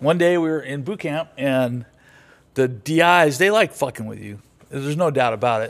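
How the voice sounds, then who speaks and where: A plain, everyday voice from a man with an American accent, fairly high in pitch, ordinary pitch variation, a fairly slow pace, and a very clean recording with a silent background. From US West Coast, Los Angeles. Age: 60s. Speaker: veteran and former diesel mechanic. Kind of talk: casual chat, podcast interview.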